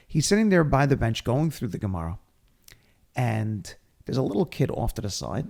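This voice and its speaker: Somewhat breathy and dark, mellow in tone, a man with an American accent talks at a moderate pace with very wide pitch swings. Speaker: podcast host and speaker; rabbi. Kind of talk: casual chat, storytelling.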